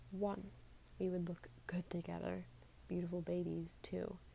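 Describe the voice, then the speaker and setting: Soft-spoken and calm in tone, a woman talks. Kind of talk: soft-spoken book reading / ASMR-style. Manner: soft-spoken, calm.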